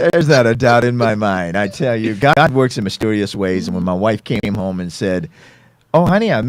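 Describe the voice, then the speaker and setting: With an American accent and a normal speaking voice, a man talks at a fairly quick pace. His medium pitch moves in lively intonation. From Virginia, US. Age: 60s. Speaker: pastor. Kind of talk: interview.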